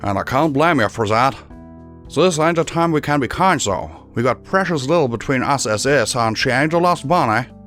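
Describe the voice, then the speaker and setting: Over clear background music, a man uses a gruff, put-on character voice at a medium pitch and a moderate pace. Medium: read story. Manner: gruff, blunt, commanding.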